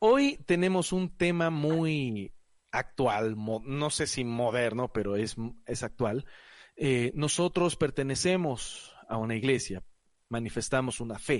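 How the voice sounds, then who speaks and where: The man talks at a very slow pace. His intonation is lively. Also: medium pitch for a man. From Ecuador, Guayaquil. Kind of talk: casual panel discussion. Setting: recording from home.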